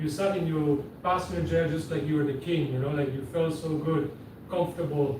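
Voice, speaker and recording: Amid noticeable background noise and audible room echo, a man with a Quebec accent talks at a fairly quick pace in a fairly high pitch with fairly even intonation. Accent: French-Canadian accent in English. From Quebec, Canada. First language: French (German at home). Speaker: seaplane pilot and business owner. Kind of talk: interview. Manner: casual.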